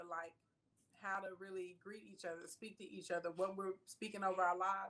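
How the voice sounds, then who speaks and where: A woman with a Southern US accent talks at a fairly quick pace, her medium-pitched voice bright and sharp in tone. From US South, rural Arkansas (Scott). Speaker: entrepreneur and online personality. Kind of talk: interview.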